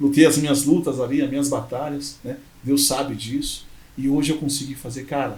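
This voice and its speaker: Amid audible room echo, a man talks at a moderate pace in a fairly high pitch with a monotone, flat intonation. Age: 30s. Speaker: entrepreneur, former motorcycle courier. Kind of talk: podcast interview.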